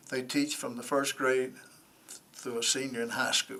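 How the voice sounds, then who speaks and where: With a Tennessee accent, a man speaks at medium pitch with ordinary pitch variation, and the room echo is audible. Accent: US Southern (Tennessee). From Nashville, Tennessee. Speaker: former football coach, nonprofit director, board applicant. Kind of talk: interview. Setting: council committee room.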